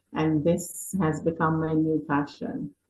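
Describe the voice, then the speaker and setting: Speaking at a very slow pace, a woman's fairly low, somewhat breathy voice comes through. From Jamaica. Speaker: realtor. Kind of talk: presentation to church audience.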